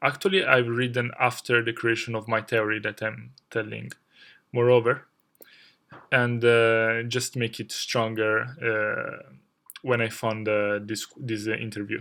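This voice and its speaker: In a very clean recording with a silent background, a man with a non-native accent speaks very slowly at medium pitch, his tone bright and sharp and his intonation fairly even. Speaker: video game lore youtuber. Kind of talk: video essay. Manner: halting, many filler words.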